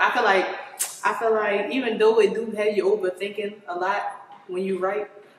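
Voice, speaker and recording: With an American accent, a woman talks at a medium pitch with ordinary pitch variation, with audible room echo and light background noise. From Maryland, Prince George's County. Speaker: rapper. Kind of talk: interview. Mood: relaxed, casual. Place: home room.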